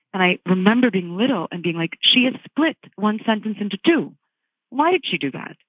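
A woman's medium-pitched voice with very wide swings in pitch. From Virginia, US. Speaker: book critic. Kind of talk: panel discussion. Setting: remote from Rome.

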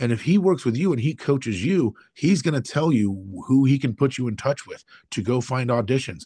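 Somewhat breathy, a man with an American accent speaks at a moderate pace and medium pitch with very wide pitch swings over a quiet background. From United States. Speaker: actor and screenwriter. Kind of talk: casual interview.

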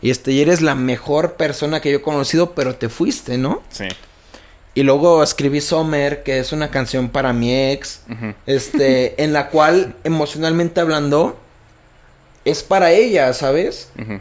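A man with a Mexican accent and a fairly high pitch talks at a fairly slow pace with ordinary pitch variation. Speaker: rapper. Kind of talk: casual chat.

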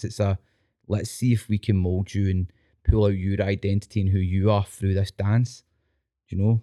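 A man with a Scottish accent speaks at a moderate pace in a fairly low pitch with a dark, mellow tone. The recording is very clean with a silent background, and the sound is dry and close with no echo. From Scotland. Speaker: teacher and dance instructor. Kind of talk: casual chat. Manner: animated.

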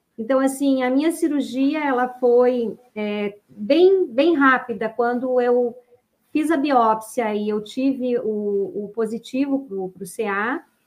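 This woman has a high voice with ordinary pitch variation. She talks at a very slow pace. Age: 50s. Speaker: ultramarathon runner, cancer survivor. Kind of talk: testimony. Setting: online live stream.

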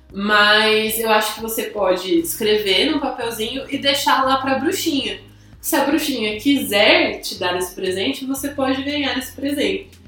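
A woman projects a raised voice at a high pitch with lively intonation and a moderate pace. Noticeable background noise and audible room echo surround her. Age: 20s. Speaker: podcast co-host. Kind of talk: casual chat.

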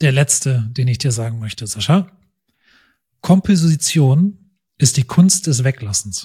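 A man speaks at a medium pitch with a dark, mellow, somewhat breathy tone. His delivery is fairly slow and lively in intonation, broken by long, frequent pauses. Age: 40s. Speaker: podcast host, photographer. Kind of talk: casual chat.

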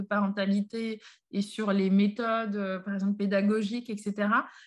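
This woman's voice is somewhat breathy. She talks at a fairly slow pace. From Paris, France. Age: 30s. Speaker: association co-founder, chemist. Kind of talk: podcast interview. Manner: hesitant, many fillers.

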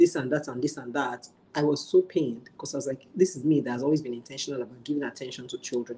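Speaking at a very fast pace, a woman has a very deep, low pitch and a dark, mellow tone. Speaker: working mother sharing parenting story. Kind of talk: live online interview.

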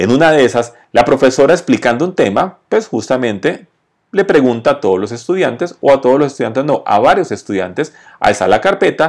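On a very clean recording with a silent background, a man talks at a fairly high pitch. His pitch swings very widely. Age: 40s. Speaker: podcast host on entrepreneurship and sales. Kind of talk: motivational monologue with storytelling. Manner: conversational.

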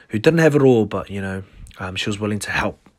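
In a very clean recording with a silent background, a man with a New Zealand accent speaks in a fairly low pitch. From New Zealand, South Auckland. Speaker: podcast host, clothing brand owner. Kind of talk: casual solo monologue. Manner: halting, many fillers.

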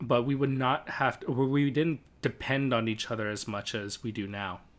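Pitched in a medium range, a man's voice carries fairly even intonation. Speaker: podcast co-host. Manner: loud, shouting at times.

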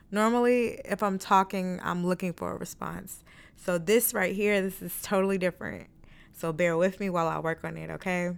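The speech comes at a moderate pace with fairly even intonation, in a very clean recording over a silent background. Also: woman, medium pitch for a woman. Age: 20s. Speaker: solo podcast host. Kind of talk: casual monologue. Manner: chatty, with fillers and stumbles.

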